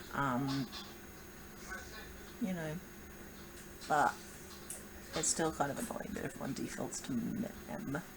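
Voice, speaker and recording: High-pitched man at a fairly slow pace, with audible room echo and noticeable background noise. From New Zealand. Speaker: vlogger. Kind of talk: casual vlog monologue. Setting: home video recording. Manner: rambling, halting with fillers.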